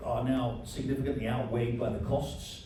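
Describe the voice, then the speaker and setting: A man with an English accent talks at a moderate pace in a medium pitch. Noticeable background noise and audible room echo are present. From England. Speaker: foreign affairs journalist. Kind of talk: panel discussion.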